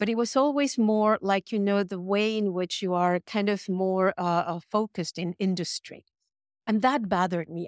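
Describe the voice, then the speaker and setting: On a very clean recording with a silent background and a dry, close sound with no echo, a woman with a Spanish accent speaks at a moderate pace in a medium pitch with ordinary pitch variation. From Mexico City, Mexico. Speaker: design professor. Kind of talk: panel interview.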